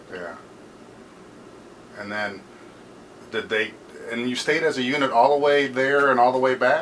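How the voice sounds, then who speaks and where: A man at a medium pitch and moderate pace, with ordinary pitch variation, long, frequent pauses and noticeable background noise. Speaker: American Legion post historian. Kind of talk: interviewer questions.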